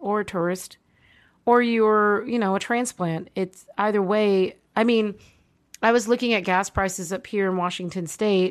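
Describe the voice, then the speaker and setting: An ordinary speaking voice from a woman at medium pitch, moderate pace and fairly even intonation, over a quiet background. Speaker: podcast host. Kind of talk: casual chat. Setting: remote recording.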